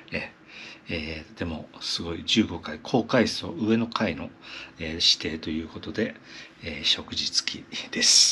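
A man whispers at a fairly slow pace in a relaxed tone. His loudness swings widely. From Japan. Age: 70s. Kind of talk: casual travel vlog narration. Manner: relaxed, hesitant with many fillers. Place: home room. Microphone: phone near.

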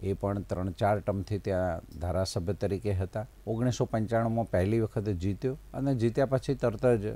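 A man's fairly low, dark and mellow voice comes through with a dry sound and no echo. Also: ordinary pitch variation. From Gujarat, Mehsana district; Gujarat. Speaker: state cabinet minister. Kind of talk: interview. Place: studio. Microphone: lapel.

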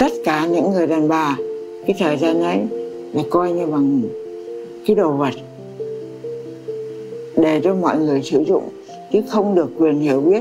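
A woman's very deep, low pitch with lively intonation, at a fairly slow pace with long, frequent pauses, over clear music in the background. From Vietnam. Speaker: memoir author. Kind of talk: interview answer. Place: home room.

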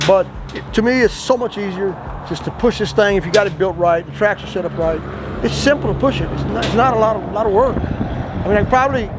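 Over noticeable background noise, a man talks at a very fast pace in a dry sound with no echo, his pitch varying in an ordinary way. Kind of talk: tutorial. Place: workshop. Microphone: lapel.

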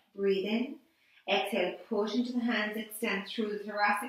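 Strong room echo surrounds a woman whose intonation stays fairly even. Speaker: Pilates instructor. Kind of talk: guided exercise class, calm step-by-step instructions. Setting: online video class. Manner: calm, soothing, slow and measured, cueing breathing. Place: empty room. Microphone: camera far.

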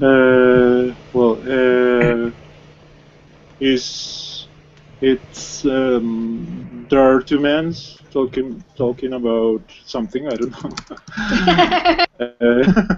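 At a very slow pace with long, frequent pauses, the speaker uses ordinary pitch variation amid noticeable background noise. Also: man, medium pitch for a man. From Colombia. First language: Spanish. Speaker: English learner. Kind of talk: language class conversation. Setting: live video class. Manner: halting.

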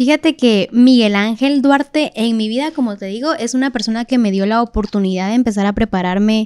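Against a quiet background, a woman speaks in a dark, mellow tone at a fairly high pitch with ordinary variation. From Guatemala City. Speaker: singer, reality show winner; podcast guest. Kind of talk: casual interview. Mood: warm, animated. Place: studio. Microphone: studio mic.

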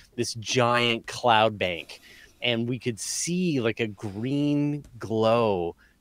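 Dry sound with no echo, a quiet background, and a man's voice. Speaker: podcast host. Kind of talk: casual conversation. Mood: relaxed, mildly disappointed.

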